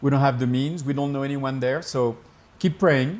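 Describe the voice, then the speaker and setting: Here a man speaks with a French accent. His pitch is fairly high. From France. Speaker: pastor and missionary. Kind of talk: interview answer.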